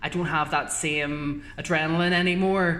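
A woman with a Northern Irish accent and a fairly low voice, noticeable background noise and audible room echo. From Northern Ireland. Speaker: journalist. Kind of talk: casual chat.

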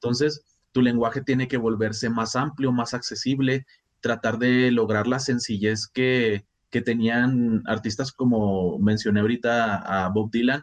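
A man speaks in a plain, everyday voice at medium pitch and a fairly slow pace. His intonation is fairly even and his loudness very even. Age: 30s. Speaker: writer, musician and teacher. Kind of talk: casual chat.

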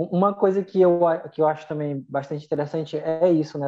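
A man talks in an unremarkable speaking voice at a fairly quick pace. His pitch is fairly high, with ordinary variation. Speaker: podcast co-host. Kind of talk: casual podcast chat.

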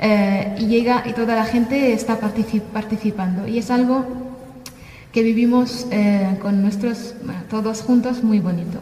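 A woman with an Arabic accent and a fairly high voice speaks with fairly even intonation, with audible room echo and noticeable background noise. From Syria, Damascus. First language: Arabic (speaking Spanish). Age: 30s. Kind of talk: testimony. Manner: halting.

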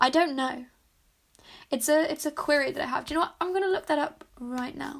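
Speaking at a fairly quick pace, a woman talks in a high voice. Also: ordinary pitch variation. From UK. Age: 20s. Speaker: podcast host. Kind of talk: casual monologue. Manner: chatty, rambling with fillers.

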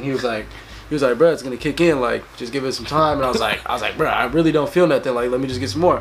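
Someone talks at a very fast pace with ordinary pitch variation, with noticeable background noise behind. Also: man. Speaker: podcast guest. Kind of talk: casual chat.

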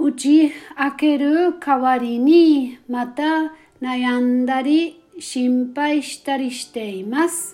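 Speaking at a very slow pace, a woman with a high pitch has a gentle tone that is also dark and mellow. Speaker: prayer guide host. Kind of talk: fervent guided prayer, spoken to God in earnest first person pleas. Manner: earnest, pleading, heartfelt, slow and sincere with gentle fervor.

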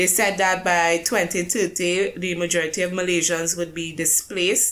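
Speaking at a fairly slow pace with hardly any pauses, a woman uses a fairly low pitch and monotone, flat intonation. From Caribbean. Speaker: podcast co-host. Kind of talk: casual chat. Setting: remote call from UK. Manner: rambling.

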